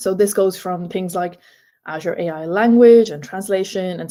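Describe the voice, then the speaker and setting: Her medium-pitched voice has a dark, mellow tone, and the woman's pitch varies in an ordinary way. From Ireland. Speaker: data and AI consultant. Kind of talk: conference tech talk. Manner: fast when nervous.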